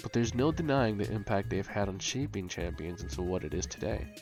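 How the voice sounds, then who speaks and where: A man talks at a fairly quick pace in a fairly low voice. Music plays in the background. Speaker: gaming video creator. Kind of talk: video essay narration.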